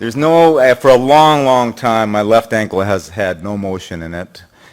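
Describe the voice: The speech moves at a moderate pace. Its pitch shows ordinary variation. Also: man, fairly low pitch for a man.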